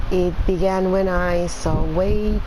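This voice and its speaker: A quiet woman speaks with a Spanish accent amid audible room echo and noticeable background noise. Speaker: gaming youtuber. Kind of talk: gameplay commentary. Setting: home. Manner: halting.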